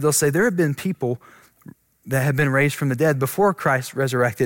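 Recorded with a dry, close sound and no echo, a man at a fairly high pitch uses a normal speaking voice with ordinary pitch variation. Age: 20s. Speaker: pastor. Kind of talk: sermon.

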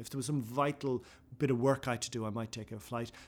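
In an Irish accent, a man speaks at a medium pitch on a very clean recording with a silent background. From Ireland. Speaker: author and broadcaster. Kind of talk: interview; reading aloud. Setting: in a building, in person.

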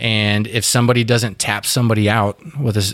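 A man with a Texan accent speaks at a fairly quick pace. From Fort Worth, Texas. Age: 30s. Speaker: whiskey distiller, jiu-jitsu fighter and combat veteran. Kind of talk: casual interview. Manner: halting, many fillers and restarts.

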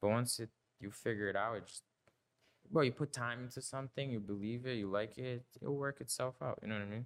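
The man's voice sits at a medium pitch, with fairly even intonation and a fairly quick pace. The sound is dry and close, with no echo. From Brazil. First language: Portuguese. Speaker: film production company co-owner. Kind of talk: casual chat.

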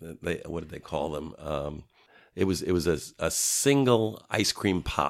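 A man's very deep, low voice, with lively intonation and big swings in loudness, on a very clean recording with a silent background. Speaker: local elected official. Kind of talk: interview.

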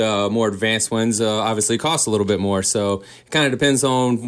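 An unremarkable speaking voice from a man with an American accent, medium pitch, fairly even intonation and a fairly quick pace. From Boone, North Carolina. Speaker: garden center owner. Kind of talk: radio interview. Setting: studio.

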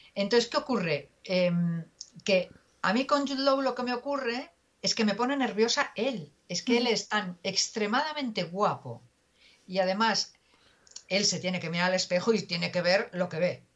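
This woman has an unremarkable speaking voice at a medium pitch. Her intonation is lively and her pace moderate. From Spain, Pontevedra (Galicia). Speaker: journalist. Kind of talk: interview conversation.

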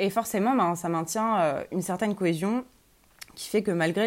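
A woman's medium-pitched voice varies in pitch in an ordinary way. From Lorraine, France. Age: 20s. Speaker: university student. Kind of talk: interview testimony. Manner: hesitant, many fillers.

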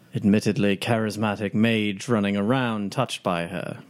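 A man's fairly low, ordinary speaking voice at a fairly slow pace, on a very clean recording with a silent background. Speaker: tabletop RPG player. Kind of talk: tabletop RPG roleplay, casual.

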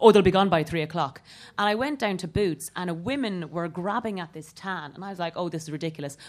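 In a very clean recording with a silent background, a woman with an Irish accent and a fairly low pitch speaks at a very fast pace, with ordinary pitch variation and big swings in loudness. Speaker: comedian. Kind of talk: comedy panel discussion. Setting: stage with live audience.

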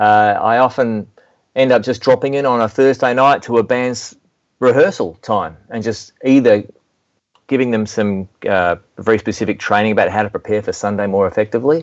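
A man speaks with an Australian accent at a medium pitch. His pace is fairly quick. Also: ordinary pitch variation. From Melbourne, Australia. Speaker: worship music mentor and speaker. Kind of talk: interview, conversational.

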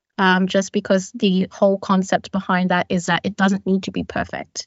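Speaking in an Australian accent, a woman uses a medium pitch and a moderate pace. Her intonation is monotone and flat. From Australia, Sydney. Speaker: product manager. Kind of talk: panel discussion.

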